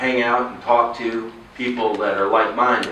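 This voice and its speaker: There is noticeable background noise and audible room echo around this recording. A man with a Texan accent talks at a moderate pace. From Texas. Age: 50s. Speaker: political candidate. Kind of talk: campaign speech. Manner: halting.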